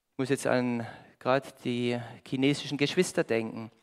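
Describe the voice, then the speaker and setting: Against a quiet background, a man speaks in an animated tone at a moderate pace. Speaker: preacher. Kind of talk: sermon with audience interaction, riddle, Bible reading. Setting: church with congregation. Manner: animated, conversational, lively; warm, pleading at the close. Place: church.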